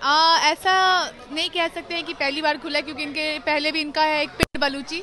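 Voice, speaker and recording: A woman's raised, projected voice at a moderate pace, fairly even in intonation, dry with no echo, over light background noise. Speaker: guest. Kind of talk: interview answer. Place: cafe. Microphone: handheld.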